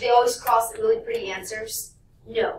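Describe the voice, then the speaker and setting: Noticeable background noise sits behind the voice. A fairly high-pitched woman speaks with ordinary pitch variation. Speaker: math teacher. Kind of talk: classroom lecture.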